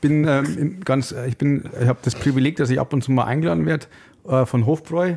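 A man speaks at a very fast pace in a dark, mellow tone. The recording is very clean, with a silent background. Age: 30s. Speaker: radiologist and beer influencer. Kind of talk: casual chat. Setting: studio.

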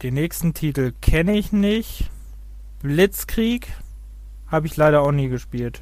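This man talks with long, frequent pauses. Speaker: gaming podcast co-host. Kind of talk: casual chat.

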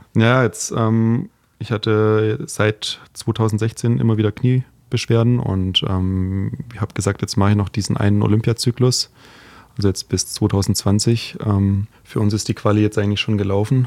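With fairly even intonation and fairly low pitch, a man talks in an unremarkable speaking voice. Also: fairly slow pace. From Heidenheim, Swabia. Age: 30s. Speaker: fencer. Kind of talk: casual chat.

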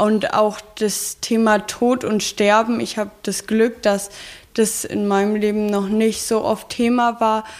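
The speaker goes at a very slow pace with monotone, flat intonation. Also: woman, fairly high pitch for a woman. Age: 20s. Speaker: social work student and hospice intern. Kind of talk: interview.

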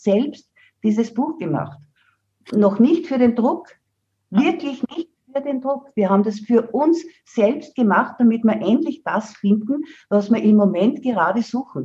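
Her voice is fairly high yet dark and mellow, somewhat breathy, with very wide pitch swings. The woman speaks at a fairly slow pace. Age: 70s. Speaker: herbalist and author. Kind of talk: interview.

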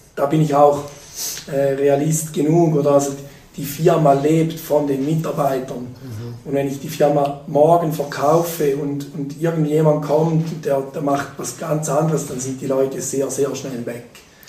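Amid noticeable background noise and audible room echo, a man with a fairly high pitch speaks at a fairly slow pace in a monotone, flat way. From rural eastern Switzerland. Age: 40s. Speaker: company founder. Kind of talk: interview. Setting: in person at a table. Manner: halting, many repetitions.

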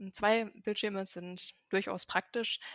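A woman's unremarkable speaking voice at a medium pitch, dry and close with no echo. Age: 20s. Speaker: software developer. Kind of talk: casual chat.

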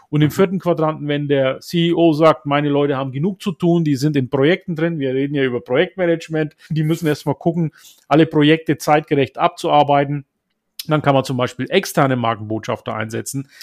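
A man with a Franconian accent, fairly high in pitch, at a fairly quick pace with ordinary pitch variation. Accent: Franconian, rolled R. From Upper Franconia, northern Bavaria (Germany), Turkish parents. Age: 50s. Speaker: social media consultant and coach. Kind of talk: interview.

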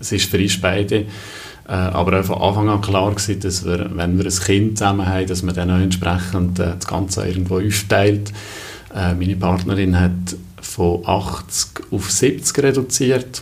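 A man with a Valais accent speaks in a very deep, low voice, with audible room echo and noticeable background noise. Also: fairly even intonation, moderate pace. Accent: Valais Swiss German dialect. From Brig, Valais, Switzerland. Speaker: recruiter and father. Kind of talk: casual interview. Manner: frequent hesitations (äh, ähm).

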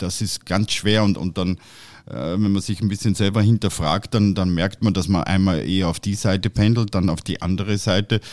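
Delivered at a moderate pace with fairly even intonation, a plain, everyday voice comes through on a very clean recording with a silent background. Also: man, fairly low pitch for a man. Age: 50s. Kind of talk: casual chat. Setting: studio.

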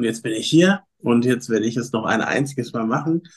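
Ordinary pitch variation and a moderate pace in a man's medium-pitched, plain, everyday voice. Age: 30s. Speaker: fitness coach and former reality TV participant. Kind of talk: casual interview.

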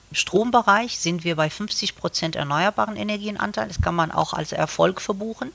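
Her voice showing vocal fry, a woman speaks with lively intonation. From Morocco. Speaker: civil engineering professor. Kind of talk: interview.

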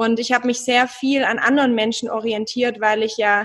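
A woman talks at a fairly slow pace. Her voice sits fairly high, with fairly even intonation. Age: 30s. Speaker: relationship coach. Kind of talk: interview.

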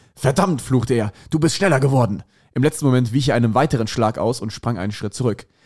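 A man's normal speaking voice, medium in pitch, with ordinary pitch variation. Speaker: comedian. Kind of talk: casual chat.

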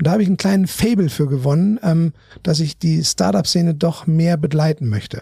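A man's fairly high-pitched voice with a dark, mellow tone, lively intonation, very even loudness and a fairly quick pace, in dry, close sound with no echo. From northern Germany (Bremen). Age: 50s. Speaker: aerospace finance executive. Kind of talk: interview.

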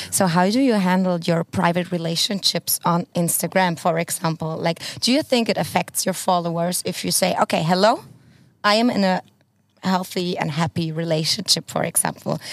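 Recorded very cleanly against a silent background, a woman speaks at a moderate pace with ordinary pitch variation and very even loudness, the sound dry and close with no echo. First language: Spanish. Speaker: podcast co-host. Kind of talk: casual chat. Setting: outdoors. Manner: animated.

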